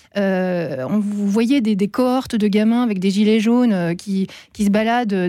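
A woman with a plain, everyday voice speaks at a moderate pace, at medium pitch with ordinary pitch variation. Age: 40s. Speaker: primary school teacher and columnist. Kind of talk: radio discussion.

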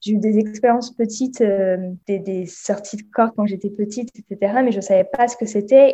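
A woman's dark, mellow voice at medium pitch with fairly even intonation. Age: 20s. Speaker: meditation guide and Reiki practitioner. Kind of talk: casual interview chat.

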